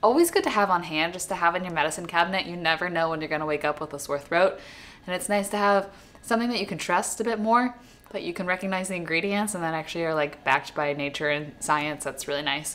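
A woman speaks at a fast pace with few pauses and a fairly bright tone. Her pitch is fairly low, with ordinary variation.

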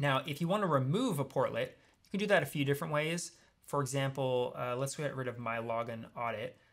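The background stays quiet as a man talks at a fairly quick pace. His loudness swings widely, while his pitch varies in an ordinary way. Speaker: software trainer. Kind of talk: tutorial.

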